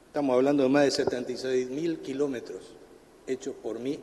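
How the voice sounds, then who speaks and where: A man's voice amid noticeable background noise. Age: 70s. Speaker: supreme court justice. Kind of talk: committee hearing speech.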